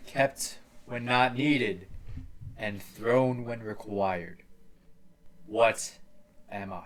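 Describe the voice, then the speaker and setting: Putting on a booming character voice at a medium pitch, a man speaks very slowly with long, frequent pauses and big swings in loudness. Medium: actual play. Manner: solemn and repetitive, speaks only in riddles.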